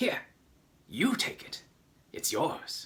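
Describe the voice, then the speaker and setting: A creaky, whispering put-on character voice from a man. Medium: read story. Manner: whispering, conspiratorial.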